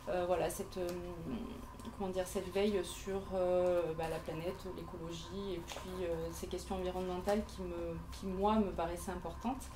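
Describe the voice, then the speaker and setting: A woman at medium pitch with monotone, flat intonation and a moderate pace, plus audible room echo and noticeable background noise. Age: 40s. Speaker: interior decorator. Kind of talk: pitch presentation at networking event. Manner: halting, many hesitations.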